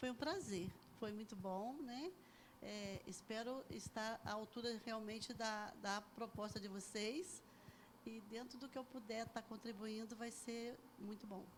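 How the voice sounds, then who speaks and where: The speaker goes at a fairly slow pace, sounding somewhat breathy, with ordinary pitch variation. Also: woman, fairly high pitch for a woman. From Brazil, Bananal, São Paulo state; raised in Resende from age 11. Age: 60s. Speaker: church member giving testimony. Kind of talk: testimony interview.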